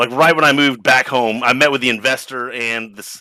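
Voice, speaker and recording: The voice has a bright, sharp tone with an American accent. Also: man. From United States. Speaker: coding education company strategist. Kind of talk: live online panel chat while gaming. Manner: halting, distracted.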